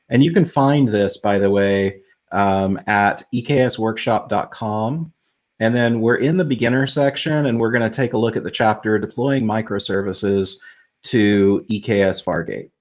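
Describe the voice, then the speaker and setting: A man with a medium pitch speaks with ordinary pitch variation. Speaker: tech streaming co-host. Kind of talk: live tutorial stream. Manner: slow.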